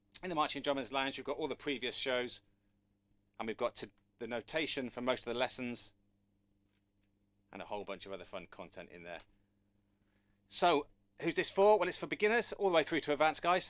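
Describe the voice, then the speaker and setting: Speaking fairly quickly with a British accent, a man with a fairly high voice and vocal fry swings his pitch very widely and his loudness a great deal, leaving long, frequent pauses. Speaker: drum teacher. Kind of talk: online live lesson. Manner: casual, conversational.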